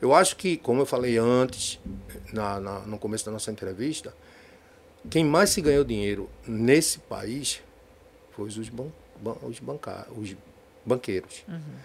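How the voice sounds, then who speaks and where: With lively intonation and big swings in loudness, a man at medium pitch speaks with long, frequent pauses. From Recife, Pernambuco, Brazil. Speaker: political candidate. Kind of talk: political interview. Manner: halting, many repetitions.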